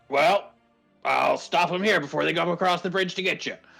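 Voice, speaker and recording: In a put-on character voice of middle pitch, the speaker goes at a moderate pace with faint music in the background. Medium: actual play. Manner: blustering, evasive.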